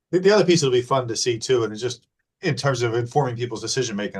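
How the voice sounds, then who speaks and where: A somewhat breathy man with an American accent, at a very fast pace. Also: quiet background. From New Jersey. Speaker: webinar host. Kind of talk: Q&A moderation.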